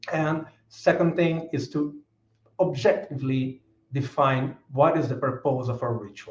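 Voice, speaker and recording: In a Brazilian Portuguese accent, a man speaks at a fairly high pitch, somewhat breathy. His pace is fairly slow and his intonation fairly even. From Brazil, São Paulo. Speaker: author. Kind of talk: lecture. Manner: halting.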